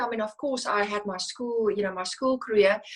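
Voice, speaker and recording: A woman talks at a fairly high pitch. Her pitch varies in an ordinary way. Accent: South African. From South Africa, Cape Flats (Philippi, Cape Town). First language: Afrikaans. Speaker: financial services executive. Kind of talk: interview. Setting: video call. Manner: halting, frequent self-corrections.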